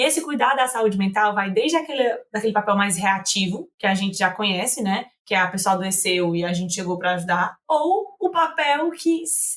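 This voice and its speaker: A woman talks at a moderate pace in a northeastern Brazilian accent. Her pitch swings very widely. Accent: northeastern Brazilian (Fortaleza). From Fortaleza, northeast Brazil. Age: 20s. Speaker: psychologist. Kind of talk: podcast interview. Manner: informal, conversational.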